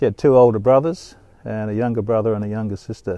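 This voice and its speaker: With an Australian accent, this dark, mellow voice moves at a fairly quick pace. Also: man. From Western Australia, Fremantle. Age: 70s. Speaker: doctor. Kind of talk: personal storytelling monologue. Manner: reflective, with frequent hesitations.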